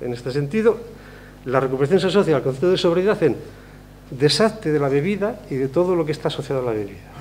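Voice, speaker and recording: Lively in intonation, a man talks at a very fast pace. His pitch is fairly high. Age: 60s. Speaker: speaker at a convention. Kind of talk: public talk. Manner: conversational, with fillers.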